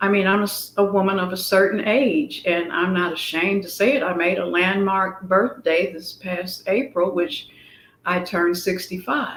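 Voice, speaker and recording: Fairly slow female speech amid noticeable background noise. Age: 60s. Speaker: fashion guest, former Air Force medic. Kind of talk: interview.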